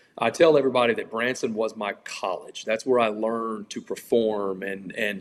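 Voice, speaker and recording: Speaking at a moderate pace, a man with a Louisiana accent uses a medium pitch and fairly even intonation. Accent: Louisiana Southern US. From Louisiana, Baton Rouge area. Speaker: country singer. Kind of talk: interview. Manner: casual, conversational.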